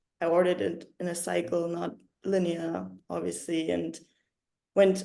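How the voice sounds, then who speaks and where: The tone is dark and mellow, carrying a German accent at a fairly slow pace. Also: woman. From Germany. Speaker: yoga teacher and writer. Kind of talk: interview. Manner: halting.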